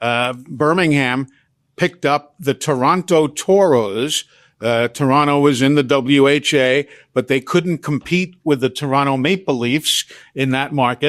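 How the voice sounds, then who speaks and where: Against a quiet background, a man uses an ordinary speaking voice at a fairly high pitch, the sound dry and close with no echo. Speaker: veteran sports broadcaster, radio play-by-play announcer. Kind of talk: interview answer, conversational storytelling. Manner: relaxed, fluent, polished.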